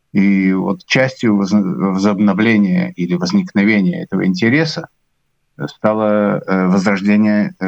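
The recording is dry and close with no echo as a man with a fairly low voice swings very widely in pitch. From Latvia, Riga. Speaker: musician and conductor. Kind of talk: interview.

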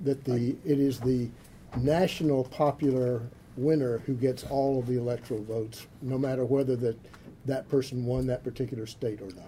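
At a moderate pace, a man speaks with medium pitch. His intonation stays fairly even. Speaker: center director and event moderator. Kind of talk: event introduction. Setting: stage with audience. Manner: halting, many fillers.

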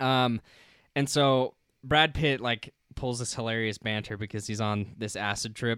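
Fairly slow and fairly even in intonation, a man speaks at medium pitch in a normal speaking voice. The recording is very clean with a silent background. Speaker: film review podcast host. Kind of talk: casual chat. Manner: casual, filler-heavy.

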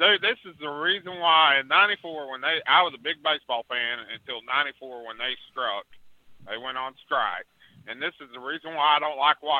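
Big swings in loudness mark this man's ordinary speaking voice. He talks at a moderate pace, pitched fairly high with ordinary pitch variation. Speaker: caller. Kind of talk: casual chat. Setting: phone call.

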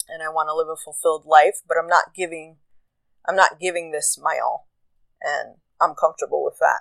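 With an American accent, a woman talks at a fairly quick pace, leaving long, frequent pauses, her loudness swinging widely in a dry, close sound with no echo. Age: 30s. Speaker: podcast host. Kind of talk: solo monologue. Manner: casual. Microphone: new recording app.

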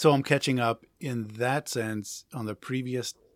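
A man with an American accent speaks in a plain, everyday voice at a medium pitch and a fairly slow pace, with fairly even intonation. The sound is dry and close with no echo, on a very clean recording with a silent background. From New Jersey. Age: 50s. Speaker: musician. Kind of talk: casual chat.

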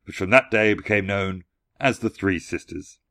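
A man with a plain, everyday voice talks at a moderate pace with a fairly low pitch. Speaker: podcast host. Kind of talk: fairy-tale narration. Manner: measured, storyteller's cadence with hushed menace on the eerie moments.

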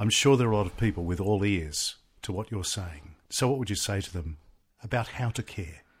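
A man with an Australian accent talks at a fairly quick pace, his fairly low voice somewhat breathy and his pitch variation ordinary. The recording is very clean, with a silent background. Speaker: radio host and TV news presenter. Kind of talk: interview.

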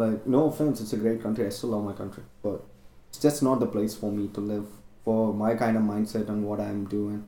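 Fairly quick, fairly low speech from a man with an Indian accent, a dark, mellow tone and fairly even intonation. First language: Indian language. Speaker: medical student. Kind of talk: casual chat.

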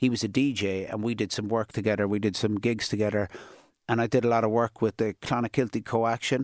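Very fast and in a flat monotone, a man with a Cork accent speaks at a medium pitch, recorded very cleanly with a silent background and a dry, close sound with no echo. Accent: Cork Irish. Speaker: DJ and youth worker. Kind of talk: interview. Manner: casual.

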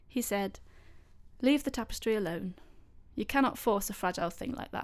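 Her pitch fairly high and her intonation lively, a woman talks at a fairly quick pace with vocal fry. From Leicester, English Midlands. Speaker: podcast host and storyteller. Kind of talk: storytelling narration.

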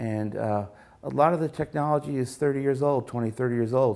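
A man speaks at a moderate pace. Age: 50s. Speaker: network engineer. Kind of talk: interview. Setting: office. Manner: halting.

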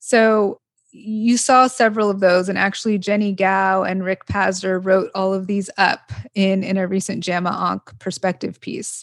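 The speaker has an American accent and talks at a moderate pace with fairly even intonation over a quiet background. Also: woman, medium pitch for a woman. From Los Angeles, US. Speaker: oncologist and drug regulator. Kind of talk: interview.

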